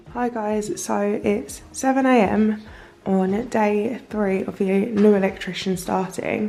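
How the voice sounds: A woman's slow, dark, mellow voice with vocal fry and fairly even intonation, in audible room echo. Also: medium pitch for a woman.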